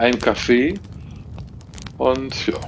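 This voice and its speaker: This man's voice sits at a medium pitch. Background noise is noticeable throughout. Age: 50s. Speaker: optician and camper. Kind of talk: casual group chat.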